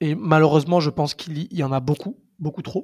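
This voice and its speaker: Fairly slow speech from a man, fairly high in pitch, with ordinary variation. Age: 20s. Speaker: youth football coach. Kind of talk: casual interview. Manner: halting, many repetitions and fillers.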